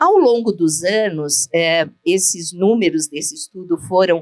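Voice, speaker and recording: A woman speaks in a normal speaking voice at a fairly slow pace, fairly low in pitch with lively intonation, with a dry, close sound and no echo. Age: 60s. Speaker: gynecologist. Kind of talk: lecture.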